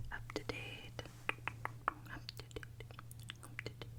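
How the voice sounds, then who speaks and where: Whispering comes from a woman, with noticeable background noise behind her. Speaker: ASMR creator and working mother. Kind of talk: casual talk to camera, ASMR makeup tutorial. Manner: whispered, soft-spoken.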